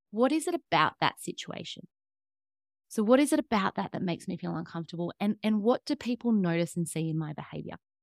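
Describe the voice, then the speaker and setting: A woman speaks very fast in a medium pitch, with very wide pitch swings. The sound is dry and close, with no echo. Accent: Australian. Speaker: fitness coach and trauma counselor. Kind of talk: interview.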